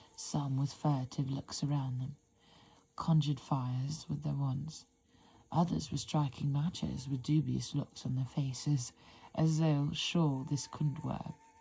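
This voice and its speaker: In a very deep, low voice, a woman speaks with a monotone, flat intonation and a dark, mellow, somewhat breathy tone. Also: fairly slow pace. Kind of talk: whispered ASMR book reading. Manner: whispered, soft.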